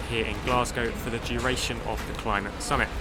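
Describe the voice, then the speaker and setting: Over music in the background, a man talks at a fairly quick pace with audible room echo. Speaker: podcast host. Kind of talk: casual chat. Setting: exhibition hall at climate summit.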